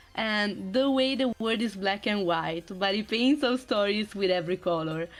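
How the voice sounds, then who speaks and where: A woman with a non-native accent speaks at a moderate pace and medium pitch, with ordinary pitch variation and very even loudness. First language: not English. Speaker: streamer guest presenting slides. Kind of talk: slide presentation on stream.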